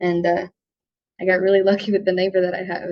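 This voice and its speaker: A quiet woman with an American accent speaks at a very fast pace. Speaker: tractor restorer. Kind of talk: interview.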